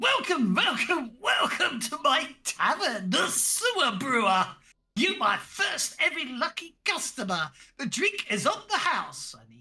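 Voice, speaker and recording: In a put-on character voice, the speaker goes slowly at a high pitch, swinging very widely up and down. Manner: welcoming, eager.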